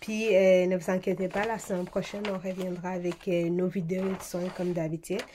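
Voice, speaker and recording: Speaking with a Swahili accent, a woman has a medium pitch and a dark, mellow tone. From eastern DR Congo. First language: Swahili (speaking French). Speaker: beauty vlogger. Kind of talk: casual vlog talk. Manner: hesitant, many fillers.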